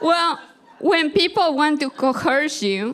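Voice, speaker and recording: This woman talks at a very slow pace with a strong Peruvian accent. Her intonation is lively. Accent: Peruvian Spanish accent, thick. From Peru, Andes. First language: Spanish. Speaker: storyteller, comedian. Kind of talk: stand-up storytelling.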